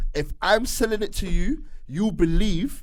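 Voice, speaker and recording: In an energetic tone, a man with a fairly high voice speaks with lively intonation. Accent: London. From southeast London. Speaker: radio DJ and presenter. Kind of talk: casual interview chat.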